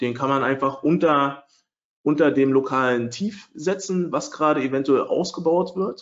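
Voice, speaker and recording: Here a man with a normal speaking voice, fairly high in pitch, talks at a moderate pace with ordinary pitch variation. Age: 30s. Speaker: trading software developer and webinar presenter. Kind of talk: webinar lecture. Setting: online webinar with screen sharing.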